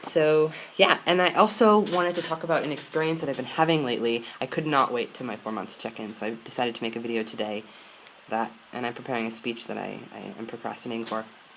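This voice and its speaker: Over noticeable background noise, a man with an American accent and a medium pitch talks at a very fast pace with lively intonation. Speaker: vlogger. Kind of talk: personal vlog. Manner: halting.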